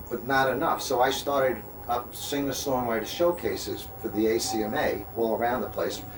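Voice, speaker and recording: A man with a New York accent speaks at a moderate pace and medium pitch, his intonation fairly even, with audible room echo and noticeable background noise. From Long Island, New York. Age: 60s. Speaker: singer-songwriter. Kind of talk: interview.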